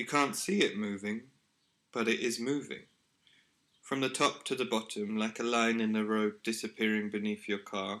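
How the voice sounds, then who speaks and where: In a very clean recording with a silent background, a man speaks at a medium pitch in a serious tone. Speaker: artist. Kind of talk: scripted narration. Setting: apartment with windows open. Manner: slow; serious melancholic tone.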